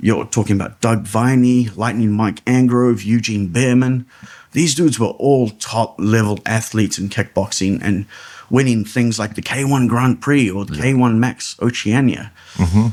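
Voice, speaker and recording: A man with a New Zealand accent and fairly even intonation. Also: medium pitch for a man, moderate pace. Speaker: ring announcer. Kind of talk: podcast interview answer. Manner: casual, storytelling.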